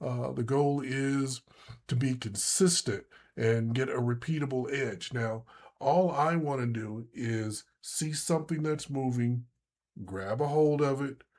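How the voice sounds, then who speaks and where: In a plain, everyday voice, the speaker talks at a fairly slow pace with ordinary pitch variation. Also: man, medium pitch for a man. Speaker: day trading instructor. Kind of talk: tutorial. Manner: casual, with many fillers.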